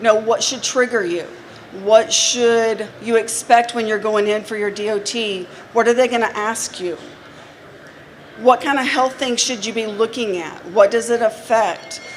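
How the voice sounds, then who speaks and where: A woman's fairly high voice at a fairly slow pace, over noticeable background noise. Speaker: healthcare company presenter. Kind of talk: trade show seminar talk. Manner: animated.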